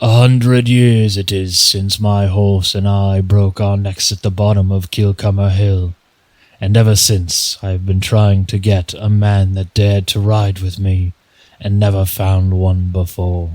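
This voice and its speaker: Putting on a character voice, a man growls in a fairly low, flat monotone at a moderate pace. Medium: read story.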